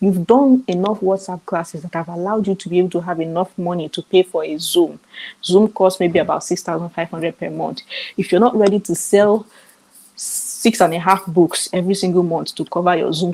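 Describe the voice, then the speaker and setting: In a Nigerian accent, a woman speaks at a moderate pace with a medium pitch. Her tone is dark and mellow, and her intonation fairly even. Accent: Nigerian, clear. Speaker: summit speaker on author business. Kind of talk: online seminar talk. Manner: clear enunciation.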